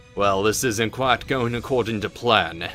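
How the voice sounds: A man puts on a booming character voice at a medium pitch. He speaks at a moderate pace with clear music in the background.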